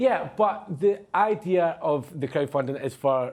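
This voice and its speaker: A man with a Glasgow accent and ordinary pitch variation. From Scotland. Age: 20s. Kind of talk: live TV interview answer. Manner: hesitant.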